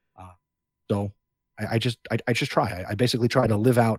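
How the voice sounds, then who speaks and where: A man talks at a fairly quick pace with a medium pitch and a somewhat breathy voice. The sound is dry and close with no echo, on a very clean recording with a silent background. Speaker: teacher and education podcaster. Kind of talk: interview. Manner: animated, talks with hands.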